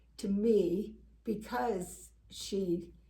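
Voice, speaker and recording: Amid audible room echo, the speaker talks at a very slow pace with a dark, mellow tone and vocal fry. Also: woman. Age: 80s+. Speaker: talk show co-host. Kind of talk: personal testimony in casual chat.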